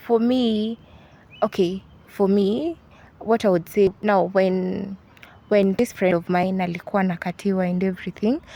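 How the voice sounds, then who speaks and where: With a Kenyan accent, a woman talks at a fairly slow pace with a medium pitch and ordinary pitch variation. Her tone is dark and mellow. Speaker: university student. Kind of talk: interview. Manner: halting.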